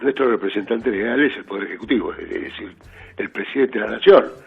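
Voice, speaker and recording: A man speaks with music in the background. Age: 60s. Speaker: judge. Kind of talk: radio interview.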